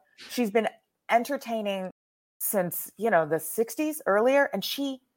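A woman with an American accent talks in a normal speaking voice at a moderate pace, her fairly high pitch moving with lively intonation in a very clean recording with a silent background. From Texas. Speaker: cabaret performer and writer. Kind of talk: casual interview conversation.

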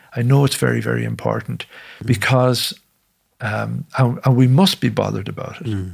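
A man with an Irish accent at a moderate pace. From Ireland. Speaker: musician and bombing survivor. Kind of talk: interview testimony. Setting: studio.

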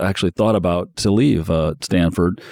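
A man with a Midwestern American accent, dark, mellow tone, fairly quick pace and fairly even intonation, in a dry, close sound with no echo. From Indiana, South Bend area. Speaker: podcast host, media executive. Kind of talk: interview.

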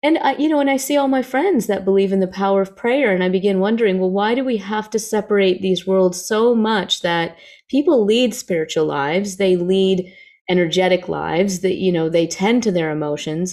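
On a very clean recording with a silent background, a woman with an unremarkable speaking voice talks fairly quickly with lively intonation. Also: medium pitch for a woman. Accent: American. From US South. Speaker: scientist and psychologist. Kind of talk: interview.

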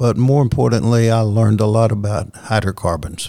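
A man with a Southern US accent speaks in a dark, mellow tone. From US South. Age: 70s. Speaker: company chief executive. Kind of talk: interview.

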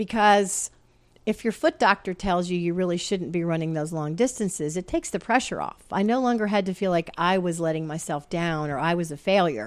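A woman with an ordinary speaking voice talks at a fairly quick pace, her pitch fairly low with ordinary variation. The recording is very clean, with a silent background. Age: 60s. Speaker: retired science writer and running coach. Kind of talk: casual interview chat.

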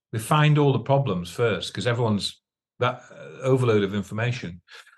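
A man talks at a fairly quick pace with lively intonation and a somewhat breathy sound. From northern England, Northumberland. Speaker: musician. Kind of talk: interview. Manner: halting.

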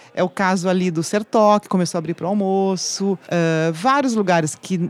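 Her voice is an unremarkable speaking voice at a medium pitch, with ordinary pitch variation and a fairly quick pace. The woman is recorded very cleanly over a silent background, dry and close with no echo. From Brazil, interior of São Paulo state. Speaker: journalist, website founder. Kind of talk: casual chat. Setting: studio.

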